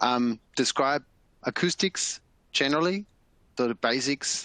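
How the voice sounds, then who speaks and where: A man speaks at a very slow pace with a bright, sharp tone and ordinary pitch variation. The sound is dry and close with no echo, over a quiet background. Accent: German. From Germany. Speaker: electroacoustic engineer. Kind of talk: webinar presentation. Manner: hesitant, many fillers.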